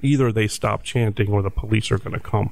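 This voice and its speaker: This man's voice is somewhat breathy. His pitch varies in an ordinary way. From New Jersey. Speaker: professor and activist. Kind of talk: interview discussion. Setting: studio.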